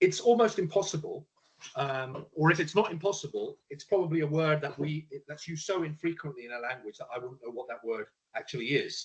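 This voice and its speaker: His pitch sits fairly high for a man. He talks at a fairly quick pace. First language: Punjabi. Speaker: panelist sharing lived experience of neurodiversity. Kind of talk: panel discussion.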